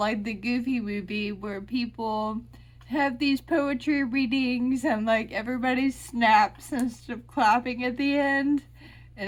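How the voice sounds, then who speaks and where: At a fairly slow pace, a woman speaks with a high pitch and fairly even intonation. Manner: words running together.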